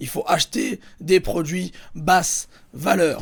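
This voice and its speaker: A man with a somewhat breathy voice. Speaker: YouTuber teaching eBay dropshipping. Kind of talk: tutorial. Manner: animated.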